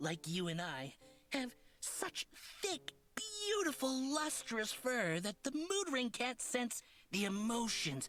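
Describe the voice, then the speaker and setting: In a put-on character voice, the speaker goes fairly slowly at a fairly high pitch with very wide pitch swings. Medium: video game. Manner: flowery, theatrical, over-polite; says purr aloud.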